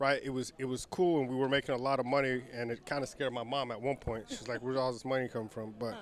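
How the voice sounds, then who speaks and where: A man's medium-pitched voice at a very fast pace, with fairly even intonation and hardly any pauses. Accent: American. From Texas, El Paso. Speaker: entrepreneur and conference organizer. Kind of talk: casual interview. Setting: outdoor community event.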